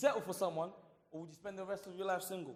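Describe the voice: Speaking at a fast pace, a man uses a high pitch and fairly even intonation.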